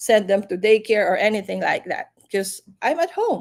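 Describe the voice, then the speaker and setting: A woman speaks with a non-native accent at a fairly high pitch. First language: not English. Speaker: live stream host, business entrepreneur. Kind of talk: casual live chat. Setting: livestream.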